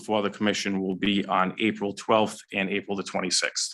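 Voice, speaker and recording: A man talks in a fairly low, bright, sharp voice with monotone, flat intonation. The recording is very clean, with a silent background. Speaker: finance officer reporting to a town sewer commission. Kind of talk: public meeting report. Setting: town council meeting room. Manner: fast.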